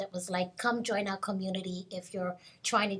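Somewhat breathy, a woman speaks at a moderate pace and medium pitch with monotone, flat intonation. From Kenya. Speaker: impact investor. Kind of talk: panel discussion. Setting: live at a conference.

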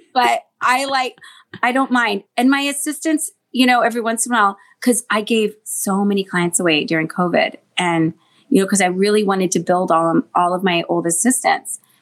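A woman with an American accent talks at a fairly quick pace with lively intonation in an ordinary speaking voice. The recording is very clean, with a silent background. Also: fairly high pitch for a woman, very even loudness. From US Pacific Northwest, Seattle. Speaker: celebrity hair colorist. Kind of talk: casual interview chat.

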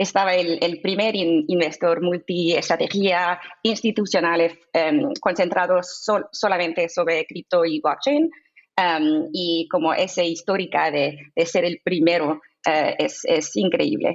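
At a fairly slow pace, a woman talks with a fairly low pitch, ordinary pitch variation and very even loudness. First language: English (speaking Spanish). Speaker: crypto investment fund executive. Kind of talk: interview. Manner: halting with filler sounds.

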